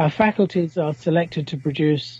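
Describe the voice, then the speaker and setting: A man speaks at a moderate pace with a somewhat breathy voice. His pitch sits fairly high, with ordinary variation. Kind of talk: moral philosophy debate.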